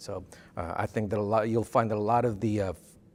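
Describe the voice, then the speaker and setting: On a very clean recording with a silent background, a man talks in a medium pitch. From South Texas, Rio Grande Valley (Brownsville). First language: Spanish. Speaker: college dean of students. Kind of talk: interview. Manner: halting, many fillers.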